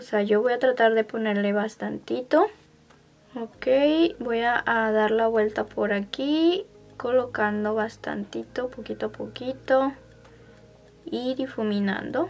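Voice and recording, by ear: Faint music plays in the background as the voice moves at a fairly slow pace with fairly even intonation. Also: woman, fairly high pitch for a woman.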